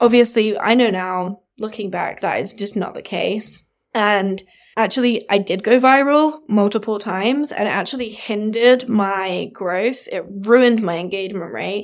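Recorded very cleanly against a silent background, a woman speaks in a southern English accent. Her fairly high voice moves at a moderate pace with ordinary pitch variation. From England, Devon countryside. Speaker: brand designer and podcast host. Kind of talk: casual monologue.

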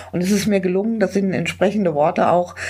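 A woman talks at a medium pitch with noticeable background noise behind her. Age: 60s. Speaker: funeral celebrant. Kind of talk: interview. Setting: on location at a charity office.

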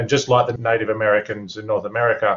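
This man has a medium-pitched voice and an Australian accent. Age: 40s. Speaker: mature-age student. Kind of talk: class discussion.

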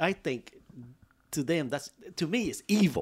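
A man speaks with a plain, everyday voice and lively intonation at a moderate pace. The recording is very clean, with a silent background. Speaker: former school board member.

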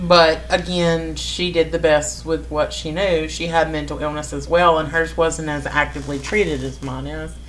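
A woman is heard with audible room echo. Noticeable background noise runs underneath. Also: moderate pace, big swings in loudness. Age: 30s. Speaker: podcast co-host and tarot reader. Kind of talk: casual chat.

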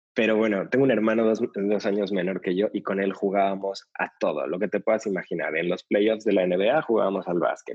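This man talks at a fairly quick pace in a normal speaking voice, fairly low in pitch, with fairly even intonation and hardly any pauses. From Mexico City. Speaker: yoga teacher trainer. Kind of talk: interview conversation.

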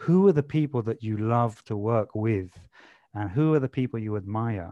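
Over a quiet background, the voice has a dark, mellow tone and a London accent. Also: man, dry, close sound with no echo. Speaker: corporate leadership and change specialist. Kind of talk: podcast interview. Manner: casual, lots of fillers.

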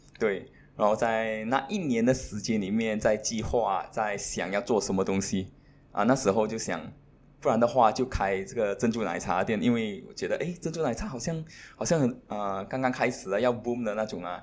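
With a normal speaking voice, a man talks at a moderate pace and medium pitch, using ordinary pitch variation. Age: 30s. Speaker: entrepreneur. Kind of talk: interview.

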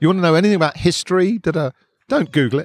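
In a dry, close sound with no echo, a man with a southern English accent speaks at a very fast pace. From southern England (Hertfordshire, London from teens). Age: 50s. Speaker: musician and campaigner. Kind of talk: casual interview. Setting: outdoors at a park cafe.

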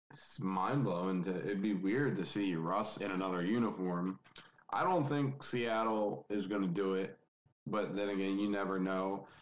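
Speaking at a moderate pace, a man uses a plain, everyday voice with a fairly low pitch and ordinary pitch variation. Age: 20s. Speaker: football podcast guest. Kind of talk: casual chat.

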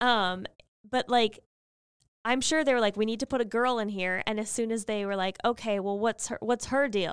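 Captured in a very clean recording with a silent background and a dry, close sound with no echo, a woman in a normal speaking voice talks at a moderate pace with a fairly high pitch and fairly even intonation. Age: 30s. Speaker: podcast co-host. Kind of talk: casual chat.

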